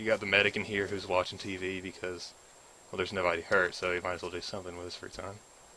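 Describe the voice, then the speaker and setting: A man with a Southern US accent speaks very fast in a very deep, low voice with a monotone, flat intonation. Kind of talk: game mod walkthrough narration. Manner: casual, hesitant with fillers.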